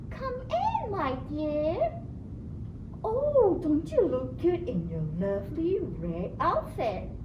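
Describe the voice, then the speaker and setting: Over loud background noise, a cartoonish, female-sounding character voice drags along at a very slow pace. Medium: puppet show. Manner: false sweet voice.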